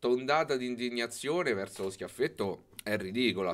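This man's speech shows ordinary pitch variation. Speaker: livestreamer. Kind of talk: livestream commentary. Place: home room. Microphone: studio mic.

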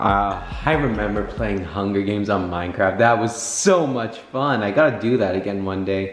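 A man speaks with a fairly low pitch and ordinary pitch variation, at a moderate pace with hardly any pauses. Audible room echo surrounds his voice. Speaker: vlogger. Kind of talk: casual vlog chat. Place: home room. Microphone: phone near.

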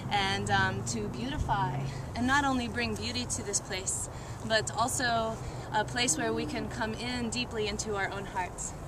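Noticeable background noise sits behind a woman speaking at a moderate pace, the sound dry with no echo. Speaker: speaker. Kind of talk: ceremonial blessing speech. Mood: warm, joyful, laughing. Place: open country. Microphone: camera far.

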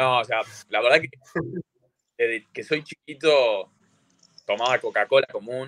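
Speaking at a fairly slow pace with an Argentine accent, the voice leaves long, frequent pauses, and the sound is dry with no echo over a quiet background. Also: man. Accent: Rioplatense Argentine Spanish. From Argentina. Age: 20s. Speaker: CrossFit athlete; podcast guest. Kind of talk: casual chat. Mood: relaxed, friendly. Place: home room. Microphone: video call.

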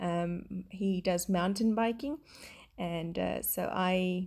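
A woman is speaking against a quiet background. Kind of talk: casual vlog chat. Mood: warm, reflective storytelling.

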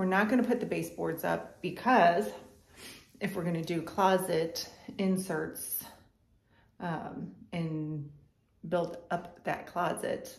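With audible room echo, a woman at a fairly low pitch uses vocal fry, speaking at a very slow pace with long, frequent pauses and ordinary pitch variation. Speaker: home renovation vlogger. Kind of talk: casual vlog chat. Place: home room. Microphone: phone near.

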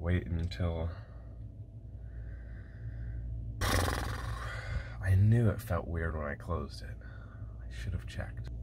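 A man is speaking. Loud background noise surrounds his voice. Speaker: bus-life vlogger. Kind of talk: casual vlog chat. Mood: frustrated, wry amusement. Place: bathroom. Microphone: phone near.

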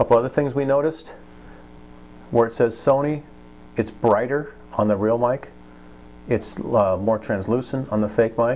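A man speaks at a moderate pace with fairly even intonation. He leaves long, frequent pauses. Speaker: product reviewer. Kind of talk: tutorial. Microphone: phone near.

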